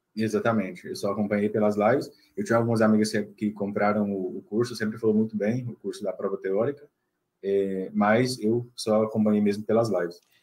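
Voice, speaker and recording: Speaking fairly quickly, a man uses a fairly low voice with monotone, flat intonation. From Brazil, Minas Gerais. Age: 20s. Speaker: newly qualified doctor. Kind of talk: interview. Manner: hesitant, many fillers.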